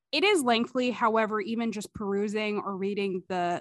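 Speaking at a fairly slow pace with fairly even intonation, a woman has a plain, everyday voice in a very clean recording with a silent background and a dry, close sound with no echo. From Ottawa, Canada. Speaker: podcast host. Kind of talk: podcast intro and interview.

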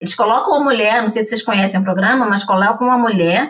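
Here is a woman with an unremarkable speaking voice and fairly high pitch. Her intonation is lively. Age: 50s. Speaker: English teacher and entrepreneur. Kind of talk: casual chat.

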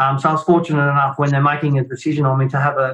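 A man's fairly high-pitched voice with an Australian accent and a monotone, flat intonation. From Australia, Shepparton, Victoria. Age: 50s. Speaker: retired football player. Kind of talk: casual chat.

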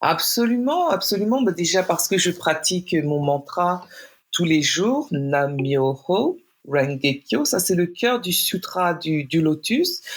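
A woman talks at a very slow pace in a fairly low pitch, her loudness very even. Her pitch swings very widely. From France. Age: 40s. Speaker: poet. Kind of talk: interview.

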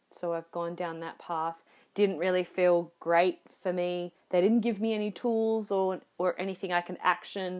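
On a very clean recording with a silent background, a woman speaks at medium pitch and a fairly slow pace with monotone, flat intonation. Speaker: podcast host. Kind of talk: solo reflective monologue.

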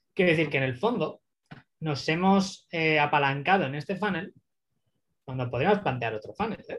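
A man with a fairly high pitch speaks at a moderate pace, using lively intonation and long, frequent pauses. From Spain (Barcelona). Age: 30s. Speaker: growth marketing consultant. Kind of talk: interview.

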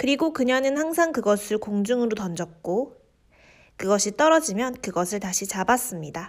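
A woman speaks very fast with a fairly high pitch and lively intonation. The recording is very clean, with a silent background. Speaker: podcast host reading fairy tales. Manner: steady, measured storyteller pacing.

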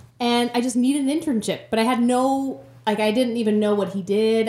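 A woman with an American accent, fairly high-pitched and somewhat breathy, dark and mellow in tone, at a moderate pace with ordinary pitch variation. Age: 20s. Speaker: teacher. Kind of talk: casual chat.

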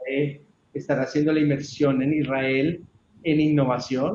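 In an Antioquian accent, a man speaks at a moderate pace with a fairly high pitch. His loudness stays very even, and his intonation is monotone and flat. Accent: Colombian paisa (Antioquia) Spanish. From Colombia, Antioquia (Urrao). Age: 30s. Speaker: IT company general manager. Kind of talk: podcast interview.

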